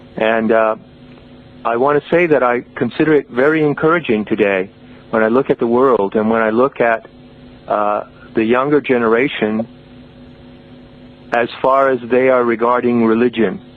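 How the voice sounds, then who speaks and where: A man talks at a moderate pace and medium pitch, with ordinary pitch variation. Long, frequent pauses break his speech amid noticeable background noise. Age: 60s. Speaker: author and mystical teacher. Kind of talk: podcast interview.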